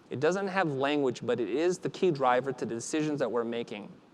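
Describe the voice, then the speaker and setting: A man talks. Noticeable background noise can be heard. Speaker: designer giving a conference talk. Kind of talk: conference keynote talk. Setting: stage with audience.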